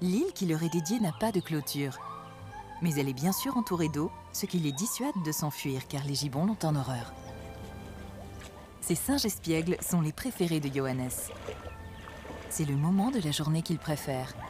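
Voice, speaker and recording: With music in the background, a woman with a very deep, low pitch speaks at a moderate pace, her intonation lively and her pauses long and frequent. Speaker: voice-over actress, documentary narrator. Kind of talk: wildlife documentary narration.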